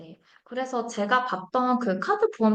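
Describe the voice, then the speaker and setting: A woman speaks with ordinary pitch variation. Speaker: marketing data presenter. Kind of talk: live webinar presentation. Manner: hesitant, many fillers.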